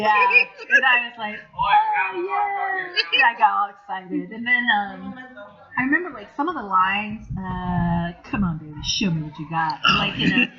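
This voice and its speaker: Noticeable background noise sits behind a woman with an American accent. She speaks at a fairly slow pace, her loudness swinging widely. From Japan (grew up in Tokyo), lives in US. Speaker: voice actress. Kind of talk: interview answer.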